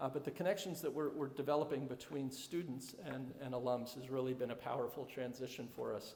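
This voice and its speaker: Amid noticeable background noise, a man talks with hardly any pauses. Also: medium pitch for a man, ordinary pitch variation. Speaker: head of school. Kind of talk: presentation to alumni. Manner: fast; halting, many fillers.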